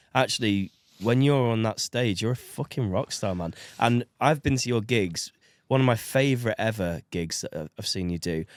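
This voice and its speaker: A man with an American accent talks at a moderate pace with medium pitch and ordinary pitch variation, a plain, everyday voice captured in a very clean recording with a silent background and a dry, close sound with no echo. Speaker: podcast host. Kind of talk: casual chat.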